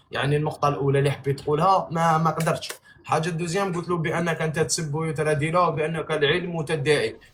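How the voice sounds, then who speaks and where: With noticeable background noise behind him, a man with a fairly high pitch talks at a fairly quick pace with hardly any pauses. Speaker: live stream host. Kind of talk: heated debate. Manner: animated.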